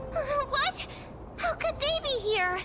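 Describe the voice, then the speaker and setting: Squeaky and extremely high-pitched, this is a put-on character voice. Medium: video game. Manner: expressive.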